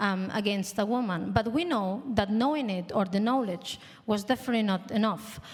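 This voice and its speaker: A woman with a Spanish accent speaks in a fairly high, somewhat breathy voice with ordinary pitch variation. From Spain. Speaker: panel moderator, art institute director. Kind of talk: panel discussion.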